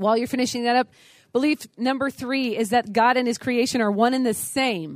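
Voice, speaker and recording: Loud and animated, the voice moves at a fairly quick pace with ordinary pitch variation and a dry, close sound with no echo. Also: woman, high pitch for a woman. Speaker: conference speaker on apologetics. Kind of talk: lecture. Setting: stage with audience.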